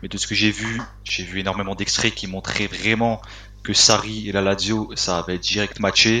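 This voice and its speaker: Over noticeable background noise, a man speaks at a moderate pace in a fairly low, monotone, flat voice. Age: 20s. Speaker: football fan page administrator. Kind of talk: casual chat.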